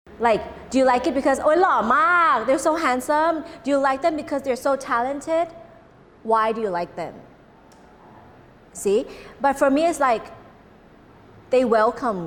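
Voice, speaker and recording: A woman's high-pitched voice in a Cantonese accent, with long, frequent pauses. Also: ordinary pitch variation, moderate pace. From Thailand. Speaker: emcee and social volunteer. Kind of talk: interview. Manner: halting.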